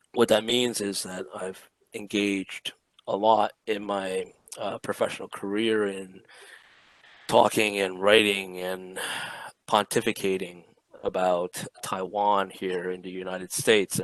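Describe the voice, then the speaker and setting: A soft-spoken man talks at a fairly slow pace in a flat monotone, his pitch fairly low. His loudness swings widely, and the sound is dry and close with no echo. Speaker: Taiwan policy expert, panelist. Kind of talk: online lecture.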